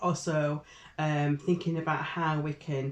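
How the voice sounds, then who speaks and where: With fairly even intonation, this woman talks in a very deep, low pitch. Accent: Yorkshire. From northern England, Barnsley (Yorkshire). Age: 60s. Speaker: Methodist deacon. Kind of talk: casual interview. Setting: office.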